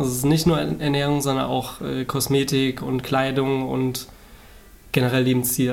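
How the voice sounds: Vocal fry runs through a monotone, flat delivery with a slightly mellow tone. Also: man.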